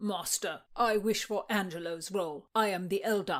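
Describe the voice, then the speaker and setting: A female-sounding voice at middle pitch does a raspy, put-on character. The recording is very clean, with a silent background. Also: moderate pace. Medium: read story.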